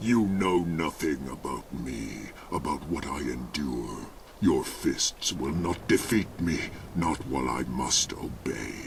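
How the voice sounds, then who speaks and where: With a growling, put-on character voice, a man talks at a fairly slow pace and a very deep, low pitch, his intonation lively over clear background noise. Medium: video game. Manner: menacing.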